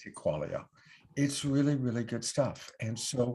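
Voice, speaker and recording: The voice is somewhat breathy with a dark, mellow tone and moves at a moderate pace. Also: man. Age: 60s. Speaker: online show host and love coach. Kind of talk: sponsor pitch on live online show. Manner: casual, with fillers.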